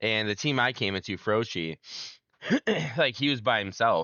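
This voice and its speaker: A man talks in a fairly low pitch at a moderate pace, his pitch varying in an ordinary way. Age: 30s. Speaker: esports coach. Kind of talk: casual chat. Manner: loud, assertive.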